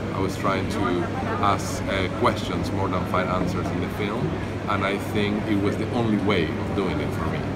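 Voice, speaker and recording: Moving at a moderate pace, a man talks through loud background noise. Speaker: interviewee. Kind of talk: interview answer. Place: hall. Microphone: phone near.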